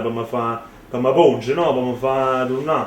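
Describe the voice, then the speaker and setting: A man with a Neapolitan accent speaks at medium pitch. Noticeable background noise and audible room echo surround his voice. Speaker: rapper. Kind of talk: interview. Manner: halting.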